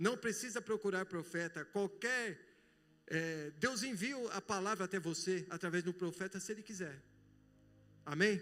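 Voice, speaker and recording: The tone is bright and sharp, with ordinary pitch variation. Long pauses come often. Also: man, high pitch for a man, moderate pace. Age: 60s. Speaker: pastor. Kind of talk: sermon. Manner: animated.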